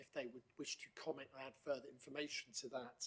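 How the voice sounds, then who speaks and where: This is a man's voice in a Norfolk accent. His pitch sits fairly high. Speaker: council committee chair. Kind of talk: formal meeting chairing. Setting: council meeting room, live streamed. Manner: hesitant, many fillers.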